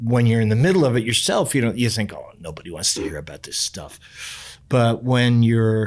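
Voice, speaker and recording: With an American accent and lively intonation, the speaker keeps a moderate pace with hardly any pauses and big swings in loudness, on a very clean recording with a silent background. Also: man, medium pitch for a man. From New York City. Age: 60s. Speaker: professional musician. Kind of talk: podcast interview. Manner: talkative.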